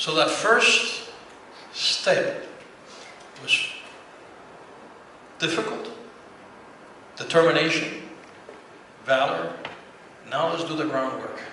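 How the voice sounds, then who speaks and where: A man talks at a very slow pace with long, frequent pauses. Audible room echo and noticeable background noise fill the recording. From Cuba. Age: 60s. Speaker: business owner. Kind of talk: testimony.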